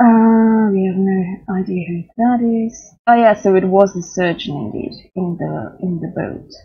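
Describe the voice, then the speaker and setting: A woman speaks at a fairly slow pace. Her pitch varies in an ordinary way over a quiet background. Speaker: gamer streamer. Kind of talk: casual gameplay commentary.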